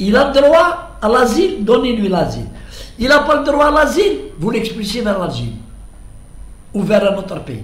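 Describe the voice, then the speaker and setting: Pitched extremely high for a man, his voice swings very widely in pitch at a moderate pace, broken by long, frequent pauses. Room echo is audible, along with noticeable background noise. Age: 70s. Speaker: political commentator. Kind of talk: monologue commentary. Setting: at home. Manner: halting, repetitive.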